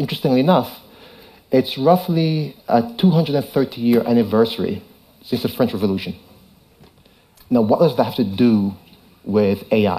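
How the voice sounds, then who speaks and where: A man speaks in a dark, mellow tone. His speech has long, frequent pauses. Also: medium pitch for a man, lively intonation. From Jamaica. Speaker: tech company founder. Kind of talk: conference talk. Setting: stage with audience. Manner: fast.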